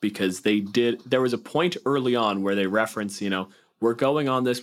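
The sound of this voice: Ordinary pitch variation in an unforced reading voice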